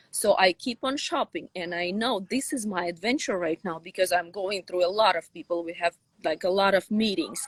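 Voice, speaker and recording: A woman's medium-pitched voice with a Russian accent and lively intonation, at a moderate pace with hardly any pauses, in a dry, close sound with no echo. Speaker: sci-fi author. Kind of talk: interview.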